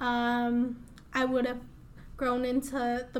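A woman speaks very slowly in a high voice with an American accent. The room echo is audible. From US Midwest, Des Moines, Iowa. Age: 20s. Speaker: beauty business owner. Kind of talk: interview. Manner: casual.

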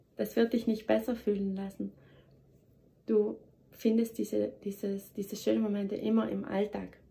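Long pauses come often as a woman talks at a moderate pace. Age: 30s. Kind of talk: motivational monologue. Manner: animated.

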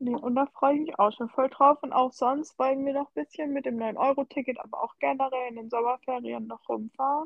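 A woman speaks fairly quickly with hardly any pauses. Her high voice for a woman holds fairly even intonation. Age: 20s. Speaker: podcast co-host and social media creator. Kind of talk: casual chat. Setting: remote call.

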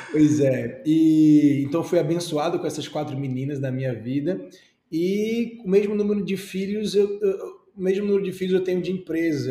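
A man speaks at a moderate pace, his dark, mellow tone carried by lively intonation. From Brazil, Recife (Pernambuco). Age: 30s. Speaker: franchise entrepreneur and YouTuber. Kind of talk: interview. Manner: animated.

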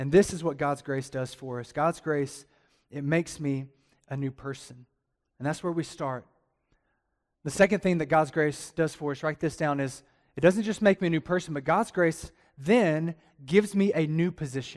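An animated man with a Southern US accent, fairly high in pitch, ordinary pitch variation and long, frequent pauses on a very clean recording with a silent background. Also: moderate pace. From Alabama. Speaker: pastor. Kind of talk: sermon. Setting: church with congregation.

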